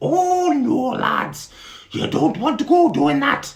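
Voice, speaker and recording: The voice is a put-on character voice pitched high. It moves at a fairly slow pace. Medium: read story. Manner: homely, chatty.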